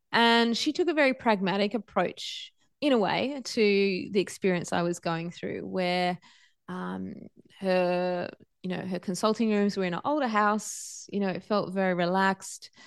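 Medium in pitch, a woman with an Australian accent speaks at a moderate pace with ordinary pitch variation. The background is quiet. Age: 40s. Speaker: podcast host and yoga teacher. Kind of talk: personal storytelling monologue.

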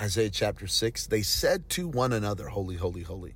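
A man's fairly low, somewhat breathy voice carries an animated, passionate tone at a moderate pace. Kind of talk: preacher in full flow, exhorting staff. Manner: emphatic, urgent, rhythmic repetition; animated, passionate, encouraging.

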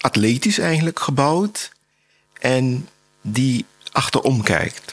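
A man speaks very slowly at a medium pitch, with a dry, close sound and no echo. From Suriname. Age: 60s. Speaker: painter. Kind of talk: interview. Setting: artist's studio.

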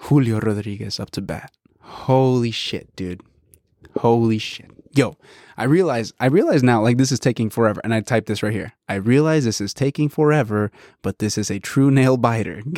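An animated man with an American accent speaks at a moderate pace with ordinary pitch variation, the sound dry and close with no echo. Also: medium pitch for a man, very clean recording, silent background. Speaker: podcast host. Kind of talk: casual chat, then excited play-by-play style sports commentary on the baseball game. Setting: home studio with headset and coffee. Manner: animated, excitable, slangy.

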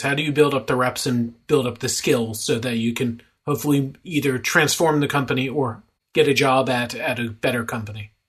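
With a normal speaking voice, this man talks at a fairly quick pace, his medium pitch showing ordinary pitch variation. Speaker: podcast host. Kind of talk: interview.

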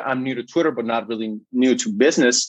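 With a Spanish accent, a man speaks at a medium pitch and a fairly quick pace. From Guatemala. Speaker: ghostwriter and social media entrepreneur. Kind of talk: casual interview chat.

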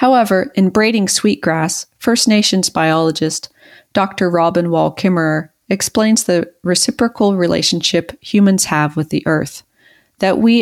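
On a very clean recording with a silent background, a woman with an unremarkable speaking voice and an American accent talks at a moderate pace with ordinary pitch variation. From rural US, Mason-Dixon line near West Virginia. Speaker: woodworker and podcast co-host. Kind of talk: reading aloud own essay.

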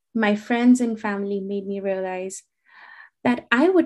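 Against a quiet background, a woman speaks at a moderate pace with ordinary pitch variation. Her fairly high voice has a dark, mellow tone. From India. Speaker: physical therapist and exam prep instructor. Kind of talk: interview.

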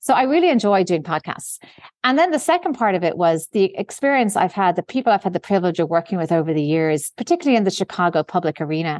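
A woman's medium-pitched voice in an Irish accent at a very fast pace, dry and close with no echo, over a quiet background. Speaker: investment executive. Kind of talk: interview.

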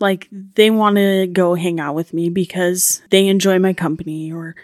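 In an American accent, a woman with a fairly low pitch speaks with fairly even intonation in a dry, close sound with no echo, the recording very clean with a silent background. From Idaho. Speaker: social work student. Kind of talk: interview.

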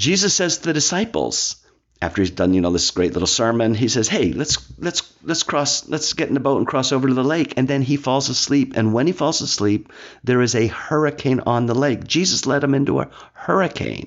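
Very wide pitch swings and vocal fry mark this man's medium-pitched voice. He talks at a fairly quick pace with very even loudness. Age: 60s. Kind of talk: scripted reflection mixed with casual talk. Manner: conversational with fillers and restarts.

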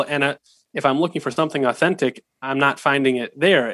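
With a Pacific Northwest accent, a man talks very fast in a fairly high pitch, his intonation fairly even. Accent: American (Pacific Northwest). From US Pacific Northwest (Seattle, Washington). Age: young. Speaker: rabbinic student. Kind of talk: interview.

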